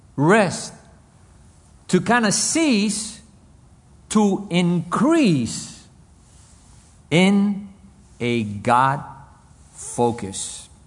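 A high-pitched man speaks in a Spanish accent at a very slow pace, with long, frequent pauses. His pitch swings very widely. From Cuba, raised in US. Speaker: pastor. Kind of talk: sermon. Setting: men's conference.

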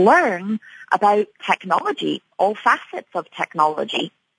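At a fairly slow pace, a woman talks with lively intonation in a medium-pitched voice. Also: dry, close sound with no echo. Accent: Scottish. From Scotland, Edinburgh. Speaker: tech conference executive. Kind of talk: radio interview. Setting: radio studio.

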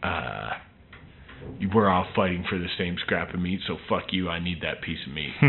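Moderate pace broken by long, frequent pauses, ordinary pitch variation, and noticeable background noise. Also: man, very deep, low pitch for a man. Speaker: singer-songwriter, band frontman. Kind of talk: casual interview.

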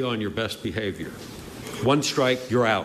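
A man speaks against noticeable background noise. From Maine. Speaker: state legislator. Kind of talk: public hearing testimony. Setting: legislative hearing room.

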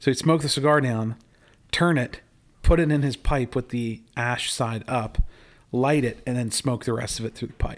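A plain, everyday voice on a very clean recording with a silent background, fairly even in intonation and moderate in pace. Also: man, medium pitch for a man. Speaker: podcast host. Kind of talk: casual chat. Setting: casual conversation while smoking cigars. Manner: friendly, conversational.

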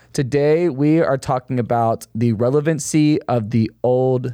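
In a dry, close sound with no echo, a man with an unremarkable speaking voice talks at medium pitch and a fairly slow pace with ordinary pitch variation. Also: hardly any pauses. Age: 20s. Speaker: young adult ministry leader. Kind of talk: casual chat.

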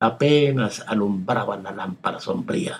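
The speaker is male. He varies his pitch in an ordinary way. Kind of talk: poetry reading aloud, scripted literary narration of a poem. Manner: slow, hushed, intimate and wistful, with measured dramatic pauses.

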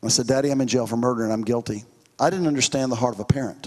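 A man speaks at a very fast pace. His pitch is medium, with ordinary pitch variation.

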